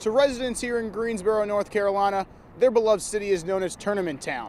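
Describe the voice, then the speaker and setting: He talks very fast, a man with a high pitch. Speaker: sports anchor and reporter. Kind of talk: TV news stand-up report. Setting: outdoors.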